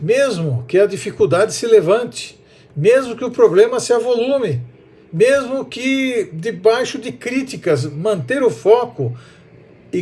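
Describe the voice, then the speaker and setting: Speaking at a fairly slow pace, a man has a dark, mellow tone and very wide pitch swings. Room echo is audible. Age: 60s. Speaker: preacher. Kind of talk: sermon.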